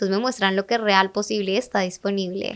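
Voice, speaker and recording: A woman speaks with a Latin American accent. Her pace is fairly quick. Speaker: digital marketing mentor and entrepreneur. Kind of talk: podcast interview. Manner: animated.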